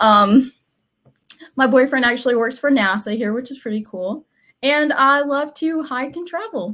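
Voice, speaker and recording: A woman with a Southern US accent speaks in a bright, sharp tone at a high pitch with lively intonation. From US South, Alabama. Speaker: digital transformation team member, co-presenter. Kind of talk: webinar introduction, casual.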